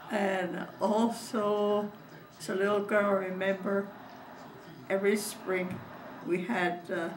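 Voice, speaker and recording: A woman speaks very slowly in a medium-pitched, monotone, flat voice, with long, frequent pauses. Noticeable background noise and audible room echo fill the recording. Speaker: elderly relative recalling childhood. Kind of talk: oral history interview. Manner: halting.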